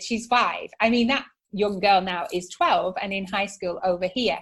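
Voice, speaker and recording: In a northern English accent, a woman with a fairly high pitch speaks in an animated tone with lively intonation. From northern England, Manchester area. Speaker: psychotherapist and entrepreneur. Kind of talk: podcast interview.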